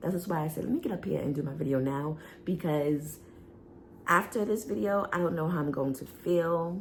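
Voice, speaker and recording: A woman speaks in a fairly low pitch with ordinary pitch variation. Her voice is somewhat breathy. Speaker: wellness coach and vlogger. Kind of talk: personal health testimony vlog. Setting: home video, seated in chair. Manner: halting, with fillers.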